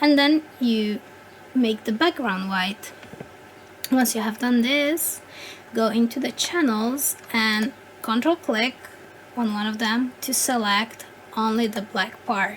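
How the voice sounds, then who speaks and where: Someone with a non-native accent speaks at a very slow pace with long, frequent pauses over noticeable background noise. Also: woman, fairly high pitch for a woman, ordinary pitch variation. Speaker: 3D content creator. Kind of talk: software tutorial voice-over. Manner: hesitant, many filler words.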